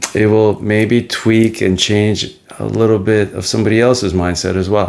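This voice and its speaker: This man has a fairly low pitch and a monotone, flat intonation. He speaks at a moderate pace. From Soviet Ukraine, then New Jersey from age 11. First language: Russian. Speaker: podcast host on men's mental health. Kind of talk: personal life story monologue. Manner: reflective, with frequent fillers.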